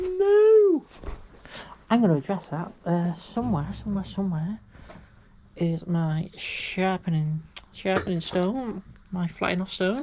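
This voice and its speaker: A woman speaks at a medium pitch with ordinary pitch variation. Her pace is fairly slow, broken by long, frequent pauses. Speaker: workshop DIY vlogger. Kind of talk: casual workshop vlog narration. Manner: talks quietly at times.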